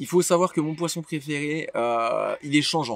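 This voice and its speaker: A man's voice, dry and close with no echo, over noticeable background noise. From western France, Anjou near Angers. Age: 20s. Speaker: fishing YouTuber. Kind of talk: casual Q&A monologue. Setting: outdoors by the water. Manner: hesitant, many filler sounds; relaxed.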